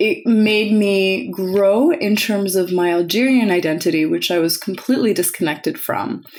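Speaking with a Canadian accent, a woman keeps a very even loudness, ordinary pitch variation and hardly any pauses, with noticeable background noise behind her. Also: medium pitch for a woman, moderate pace. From Western Canada. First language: French. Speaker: guest interviewee. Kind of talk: casual interview.

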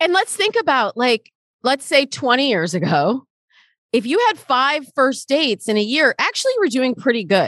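With an American accent, a woman speaks at a high pitch with very wide pitch swings, very even loudness and a moderate pace, in a dry, close sound with no echo. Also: quiet background. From Michigan, US. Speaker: dating coach. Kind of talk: interview conversation.

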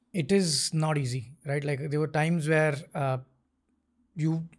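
Pitched fairly high, a man speaks with a somewhat breathy voice and fairly even intonation. The recording is very clean, with a silent background. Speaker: tech startup founder and CEO. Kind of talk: interview conversation. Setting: studio.

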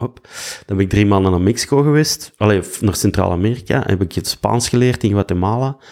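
A man's dark, mellow voice in a Flemish accent, with ordinary pitch variation. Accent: Flemish Dutch. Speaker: actor and musician. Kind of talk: casual chat.

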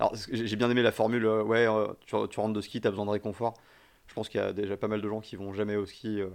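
A man talks very fast at a fairly low pitch, his intonation monotone and flat. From France, Paris. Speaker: podcast host. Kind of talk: casual chat.

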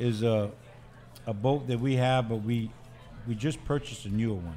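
With music in the background, a man of medium pitch speaks at a moderate pace with fairly even intonation. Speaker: bait company sales manager. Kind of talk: casual interview.

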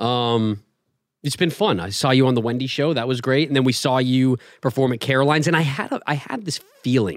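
A man speaks with an American accent at a fairly quick pace. His medium-pitched voice is a normal speaking voice with ordinary pitch variation. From Los Angeles. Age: 30s. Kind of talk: casual chat.

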